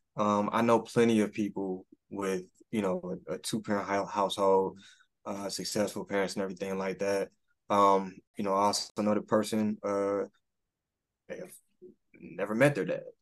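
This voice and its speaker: A man with an American accent talks at a moderate pace and fairly low pitch, his intonation fairly even. He takes long, frequent pauses against a quiet background. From Detroit, Michigan (Rosedale Park). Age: 30s. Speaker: high school teacher. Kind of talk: interview. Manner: hesitant, many fillers and repetitions.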